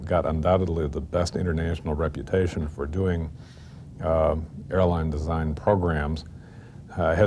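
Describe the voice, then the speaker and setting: A man with a very deep, low pitch and a dark, mellow tone. His voice is somewhat breathy, over light background noise. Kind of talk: interview answer. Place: office.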